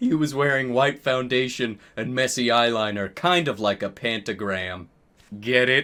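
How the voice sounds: The text is read in a natural reading voice whose pitch varies in an ordinary way.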